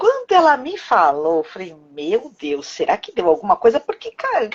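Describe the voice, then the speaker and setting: At a moderate pace, a woman talks at a high pitch with very wide pitch swings and big swings in loudness. The sound is dry and close with no echo. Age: 40s. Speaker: cancer survivor, healthcare worker. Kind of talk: testimony.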